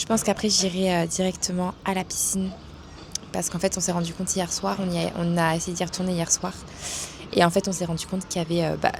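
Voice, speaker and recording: A soft-spoken woman talks at a fairly quick pace against noticeable background noise. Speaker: vlogger and online coach. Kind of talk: casual vlog. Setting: outdoors, hot weather. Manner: hesitant, many fillers.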